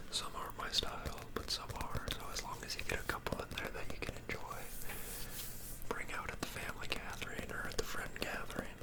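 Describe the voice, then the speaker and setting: A man whispering at a fairly quick pace in a relaxed tone, with noticeable background noise. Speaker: ASMR creator, grad student. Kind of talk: ASMR whispered ramble. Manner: whispered, relaxed.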